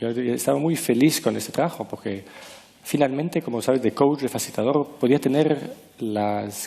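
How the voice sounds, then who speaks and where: Noticeable background noise sits behind a man with a non-native accent. He talks at a moderate pace and medium pitch with ordinary pitch variation. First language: not Spanish (speaking Spanish). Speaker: author and former management consultant. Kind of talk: interview. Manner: halting, searching for words.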